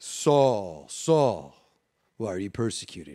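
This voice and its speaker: A man in a put-on character voice, fairly low in pitch, at a fairly slow pace. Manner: booming, grand.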